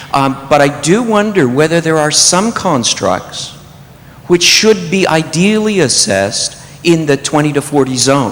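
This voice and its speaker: Noticeable background noise sits behind a man speaking with lively intonation. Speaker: audience member asking a question. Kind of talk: Q&A question from audience. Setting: convention hall with audience. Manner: loud.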